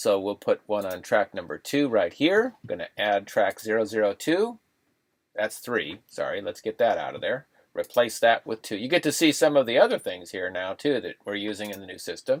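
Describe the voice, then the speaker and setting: A man at a moderate pace, with big swings in loudness and a dry, close sound with no echo. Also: very clean recording, silent background. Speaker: video editing trainer. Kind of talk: tutorial. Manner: casual.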